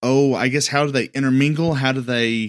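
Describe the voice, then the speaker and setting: This is a normal speaking voice: a man at a fairly high pitch, moderate pace and fairly even intonation. The recording is very clean with a silent background, dry and close with no echo. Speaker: podcast host. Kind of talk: casual chat.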